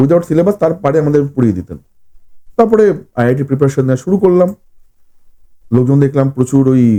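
This man has a fairly high pitch and a dark, mellow tone. His intonation is lively. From West Bengal, Howrah (Shibpur). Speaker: horror fiction writer. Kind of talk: podcast interview.

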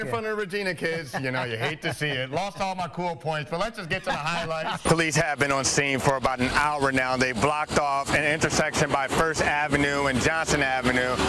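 Talking at a fairly quick pace with hardly any pauses, a man uses a fairly high pitch. The sound is dry with no echo, though background noise is noticeable. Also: ordinary pitch variation. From United States. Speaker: TV news anchor and reporter. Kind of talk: broadcast news anchor and field reporter delivery.

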